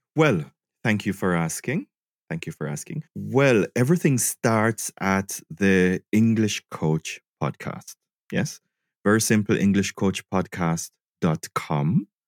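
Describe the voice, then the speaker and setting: A man with a fairly low pitch speaks very slowly, captured in a very clean recording with a silent background and a dry, close sound with no echo. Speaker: English teacher and online trainer. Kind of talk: casual interview.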